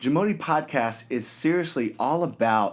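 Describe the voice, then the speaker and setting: On a very clean recording with a silent background, a man speaks in an enthusiastic tone. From Texas, Dallas. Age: 30s. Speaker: podcast host, former motocross racer. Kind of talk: monologue podcast intro. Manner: halting, with repetitions.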